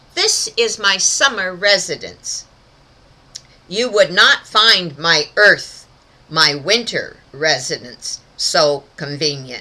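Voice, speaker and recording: A woman puts on a character voice at a medium pitch and speaks very slowly. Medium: read story. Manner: overly polite, smooth.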